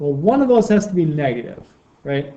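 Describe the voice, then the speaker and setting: A man's high pitch and dark, mellow tone, with lively intonation. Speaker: high school math teacher. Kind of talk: video lesson. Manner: casual, encouraging.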